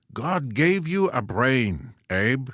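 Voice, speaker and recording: A man's put-on character voice at a medium pitch with very wide pitch swings. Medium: read story.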